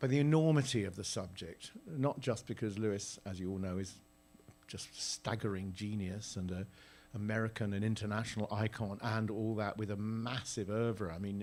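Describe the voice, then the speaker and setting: This man speaks with a British accent. His pace is moderate. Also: ordinary pitch variation. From Britain. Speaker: theatre director. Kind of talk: onstage interview. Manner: halting.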